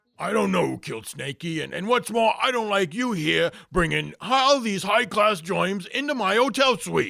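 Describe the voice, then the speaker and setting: In a put-on character voice with a Brooklyn accent, a man projects a raised, high-pitched voice at a moderate pace. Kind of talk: 1940s radio acting. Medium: audio drama. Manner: tough-talking, fussy.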